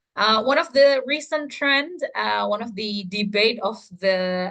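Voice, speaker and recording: With a Javanese accent, a woman speaks at a very slow pace in a bright, sharp tone with ordinary pitch variation. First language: Indonesian or Javanese. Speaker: teacher trainer. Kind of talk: online training session. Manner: hesitant, many fillers.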